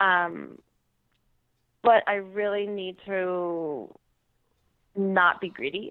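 Her medium-pitched voice carries fairly even intonation as the woman speaks. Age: young. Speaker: elite marathon and obstacle course runner. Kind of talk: casual interview. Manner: hesitant, many fillers.

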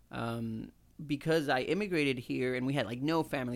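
A man speaks in an ordinary speaking voice at a fairly quick pace. His pitch is medium and his intonation fairly even. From Houston, Texas (born in Mexico, moved at seven). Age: 30s. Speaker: English teacher and chef. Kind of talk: casual chat.

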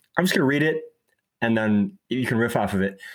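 A man talks at a very fast pace with lively intonation and a medium pitch. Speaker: podcast host.

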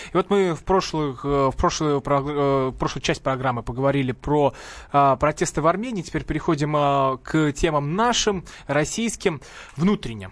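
This is a plain, everyday voice, moving at a moderate pace and showing ordinary pitch variation. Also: man, fairly high pitch for a man. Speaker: radio host. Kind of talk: radio talk show hosting. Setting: radio studio.

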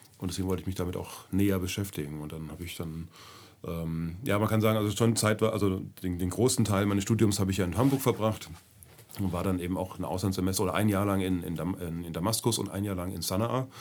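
A man's pitch is very deep and low. He speaks at a very fast pace. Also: ordinary pitch variation. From Germany, grew up in several places. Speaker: travel lecturer on Syria. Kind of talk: casual interview.

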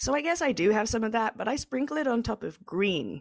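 A woman with an English accent speaks in a fairly high voice with lively intonation. The sound is dry and close with no echo, and the recording is very clean with a silent background. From England. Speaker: cannabis journalist and podcast host. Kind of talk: interview.

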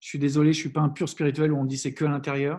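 A man with a fairly high pitch and a somewhat breathy voice talks against a quiet background. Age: 40s. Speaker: happiness coach and entrepreneur. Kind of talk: interview. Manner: halting, many fillers and restarts.

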